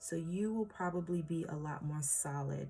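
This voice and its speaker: A woman speaks in a dark, mellow, somewhat breathy voice pitched fairly low. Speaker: tarot reader. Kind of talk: tarot reading for viewers. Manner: slow; hesitant, many fillers.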